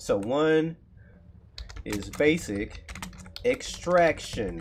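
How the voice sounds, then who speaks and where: Someone with a Texan accent talks at a very slow pace. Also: man. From Texas. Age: 30s. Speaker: coding streamer, aspiring web developer. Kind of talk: live coding stream, casual chat. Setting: livestream. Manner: casual, conversational.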